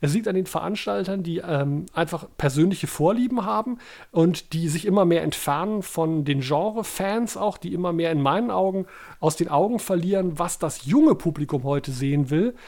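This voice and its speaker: On a very clean recording with a silent background, a man with a high pitch talks with lively intonation. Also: moderate pace. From Germany, Baden-Baden. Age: 50s. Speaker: podcast co-host. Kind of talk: casual chat.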